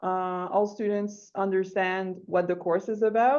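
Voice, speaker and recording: A woman speaks with a Quebec accent at a medium pitch, her tone dark and mellow. Her intonation is fairly even, and the background is quiet. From Quebec, Rimouski. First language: French. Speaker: English teacher. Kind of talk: online workshop discussion.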